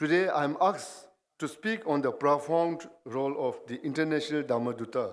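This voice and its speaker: Speaking with a Bhutanese accent, a man uses a fairly high pitch. His pace is fairly slow, with ordinary pitch variation. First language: Dzongkha. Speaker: guest speaker. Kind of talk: ceremonial speech. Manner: formal.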